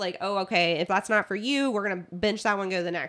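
Her tone animated, a woman talks at a very fast pace. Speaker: nurse; podcast co-host. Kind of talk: casual chat.

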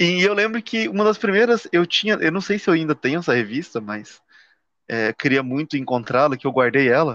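Against a quiet background, a man talks at a fairly quick pace with very wide pitch swings, the sound dry and close with no echo. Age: 30s. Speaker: podcast co-host. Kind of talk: casual chat. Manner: halting.

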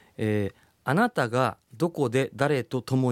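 A man speaks at medium pitch in an ordinary speaking voice, with ordinary pitch variation. The recording is very clean, with a silent background and a dry, close sound with no echo. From Japan, Kumamoto. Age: 40s. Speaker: startup CEO. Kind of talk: interview.

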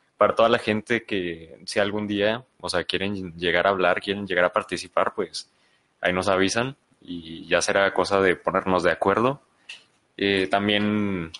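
A man talks fairly slowly with a Mexican accent. His fairly low voice has a bright, sharp tone. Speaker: podcast co-host. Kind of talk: casual discussion. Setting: live stream in a room.

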